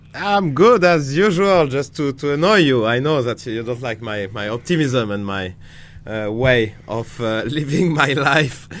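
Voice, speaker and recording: Speaking fairly slowly in a French accent, a man uses lively intonation at medium pitch. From France. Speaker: chess grandmaster, podcast co-host. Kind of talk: casual chat.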